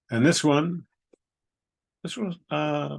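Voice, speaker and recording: A voice with very wide pitch swings, delivered at a fairly slow pace. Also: man. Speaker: poet reading his own haiku. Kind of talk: poetry reading with casual commentary.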